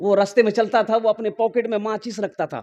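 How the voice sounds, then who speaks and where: The delivery is animated in tone and moves at a moderate pace. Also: man. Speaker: Islamic preacher. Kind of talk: religious sermon with humor, addressing a live crowd. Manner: animated, emphatic, humorous.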